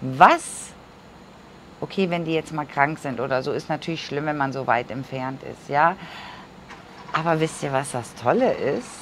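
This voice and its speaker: With light background noise behind her, a woman speaks at a fairly slow pace in a very deep, low pitch, with ordinary pitch variation and long, frequent pauses. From Germany. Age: 50s. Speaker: vlogger; emigrant vlogger. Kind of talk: casual vlog monologue; casual vlog chat. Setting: sitting cross-legged on camera. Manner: chatty, with many fillers. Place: home room. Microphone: lapel.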